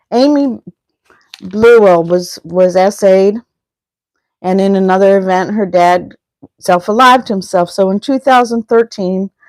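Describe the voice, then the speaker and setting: Pausing long and often, a woman speaks at a fairly slow pace and medium pitch with ordinary pitch variation, in a dry, close sound with no echo. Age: 60s. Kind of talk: live stream talk. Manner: halting, with repetitions.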